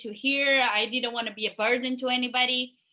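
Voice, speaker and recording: Raised, projected woman's voice, high in pitch, in a Portuguese accent, with a bright, sharp tone, fairly even intonation and a moderate pace. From Brazil (small town). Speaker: interview show host. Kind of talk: interview conversation. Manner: hesitant, many fillers and repetitions.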